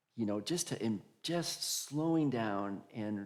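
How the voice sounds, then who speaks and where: A man's medium-pitched voice at a fairly slow pace. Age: 60s. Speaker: pastor. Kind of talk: conversational interview at church service.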